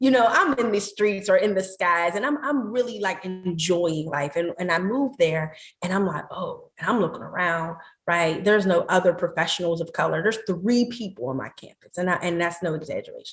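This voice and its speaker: With an American accent, a woman talks at a fairly quick pace with hardly any pauses, her medium-pitched voice somewhat breathy and her intonation lively. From Pittsburgh, Pennsylvania. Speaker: meditation teacher and wellness entrepreneur. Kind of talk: podcast interview.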